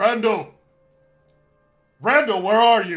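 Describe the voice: Shouting in a put-on character voice, a man pitches his voice high. Faint music plays in the background.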